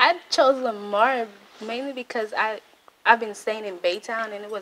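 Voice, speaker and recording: Noticeable background noise accompanies a woman who speaks at a fairly high pitch and a fairly slow pace. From Dominica, Portsmouth. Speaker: student organization vice president. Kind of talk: interview. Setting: university campus.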